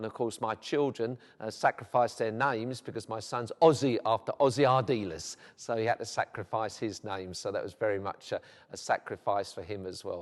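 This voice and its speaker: With a South London accent, the speaker goes at a fairly quick pace with ordinary pitch variation in a dry, close sound with no echo. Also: man, medium pitch for a man. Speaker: vicar. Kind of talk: documentary interview. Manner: hesitant, with frequent fillers.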